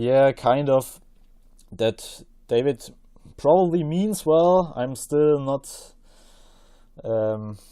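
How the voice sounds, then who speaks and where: A man speaks very slowly with long, frequent pauses and a non-native accent. His fairly high voice has a dark, mellow tone and lively intonation. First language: not English. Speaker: podcast guest. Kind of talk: casual chat. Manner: hesitant, many fillers.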